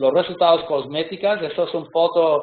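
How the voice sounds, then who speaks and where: With a non-native accent, the talker proceeds at a fairly slow pace. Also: man. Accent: non-native Spanish speaker. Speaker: pediatric surgeon. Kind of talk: lecture. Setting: video call webinar. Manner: halting, many hesitations.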